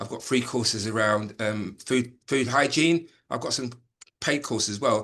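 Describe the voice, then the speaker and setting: Pitch variation is ordinary for this man. He speaks at a moderate pace. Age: 60s. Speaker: former head teacher and voice coach. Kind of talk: casual chat. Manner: hesitant, repeats words.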